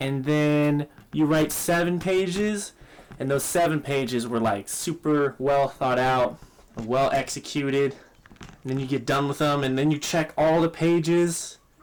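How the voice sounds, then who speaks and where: At a fairly slow pace, a man with a fairly high pitch speaks with ordinary pitch variation. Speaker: musician and producer; vlogger. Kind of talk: casual chat. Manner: hesitant, many fillers. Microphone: phone near.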